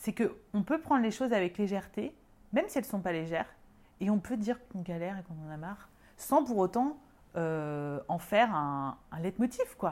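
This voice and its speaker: A woman with an ordinary speaking voice, medium pitch and lively intonation, at a fairly quick pace. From France, Lyon. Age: 30s. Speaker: medium and energy healer. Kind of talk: casual interview.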